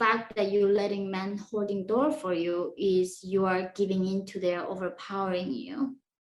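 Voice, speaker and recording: A woman of medium pitch speaks in a Korean accent at a fairly slow pace. The background is quiet. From North Korea. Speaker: defector and former student. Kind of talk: interview. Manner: halting.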